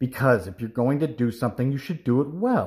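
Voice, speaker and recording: A man performs a put-on character voice at a medium pitch. The recording is very clean, with a silent background. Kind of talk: read-aloud storytelling. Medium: read story. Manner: gruff, curt. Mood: annoyed lecturing.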